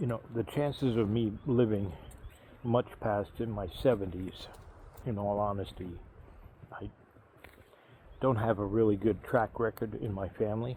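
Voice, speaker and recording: A man with a fairly low pitch and a dark, mellow tone speaks somewhat breathily at a moderate pace, with long, frequent pauses. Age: 50s. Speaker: YouTuber vlogging about retirement. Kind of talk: casual walking vlog monologue. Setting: outdoors on a walk. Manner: hesitant, many fillers.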